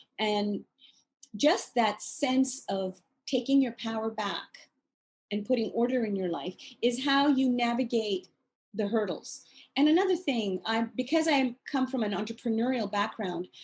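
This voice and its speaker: Pausing long and often, a woman with a fairly high pitch speaks at a fairly slow pace with ordinary pitch variation. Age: 60s. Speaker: author and course creator. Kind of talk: interview.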